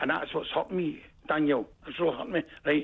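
With a Glaswegian accent, a man speaks at a high pitch and a fairly quick pace. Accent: Glaswegian Scottish. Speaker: caller. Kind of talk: phone-in call. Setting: phone call. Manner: animated.

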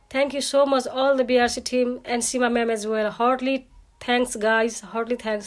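Over a quiet background, a woman speaks slowly-ish at a fairly slow pace in a high, monotone pitch. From Nepal. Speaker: client testimonial giver. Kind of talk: testimony. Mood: grateful, earnest. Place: home room. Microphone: phone near.

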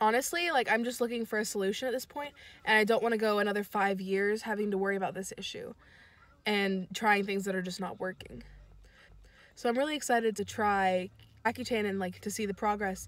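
A woman speaks fairly quickly, her pitch varying in an ordinary way. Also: dry sound with no echo. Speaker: vlogger. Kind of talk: casual vlog chat. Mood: open, hopeful. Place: car. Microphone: phone near.

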